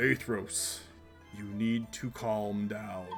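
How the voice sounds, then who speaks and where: A man uses a put-on character voice, pitched fairly low. Clear music plays in the background. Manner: calming, firm.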